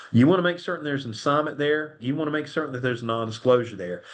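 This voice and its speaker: A man with a Southern US accent, fairly high pitch, ordinary pitch variation and an animated tone. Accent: US South. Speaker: attorney presenting a webinar. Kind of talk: webinar presentation with Q&A. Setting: online webinar. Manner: fast; casual, animated.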